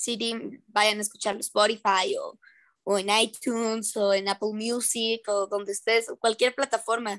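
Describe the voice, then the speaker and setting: A woman with a fairly high voice speaks in a monotone, flat way at a fairly slow pace, the sound dry with no echo over a quiet background. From Mexico. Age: 18. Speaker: young singer and actress; actress. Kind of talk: casual interview. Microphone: video call.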